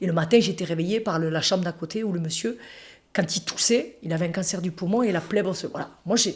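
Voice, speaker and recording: A woman speaks at a fairly quick pace and a fairly low pitch. Her tone is animated and somewhat breathy. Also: ordinary pitch variation. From France, Toulouse. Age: 40s. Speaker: interviewee sharing life story. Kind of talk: casual interview conversation.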